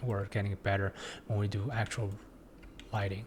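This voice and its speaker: Somewhat breathy and fairly low in pitch, a man talks with a non-native accent and fairly even intonation. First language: not English. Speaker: 3D design tutorial instructor. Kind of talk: tutorial. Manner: halting, many fillers and restarts.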